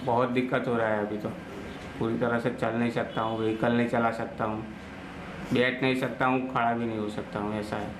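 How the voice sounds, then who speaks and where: Amid audible room echo and noticeable background noise, a man speaks at a moderate pace in a monotone, flat intonation. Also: medium pitch for a man. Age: 30s. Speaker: patient, petrol pump worker. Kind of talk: testimony.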